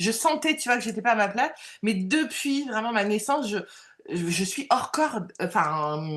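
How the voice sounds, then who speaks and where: A woman speaks loudly with very wide pitch swings. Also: fairly high pitch for a woman, moderate pace. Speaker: medium and coach, former job counselor. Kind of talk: interview. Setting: live video stream. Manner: halting, many fillers.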